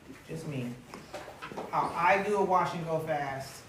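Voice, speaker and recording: A woman's fairly low voice amid noticeable background noise and audible room echo. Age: 40s. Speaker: hair stylist and hair product brand founder. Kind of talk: live hair styling demo. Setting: live event with audience. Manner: loud. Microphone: speaking without a microphone.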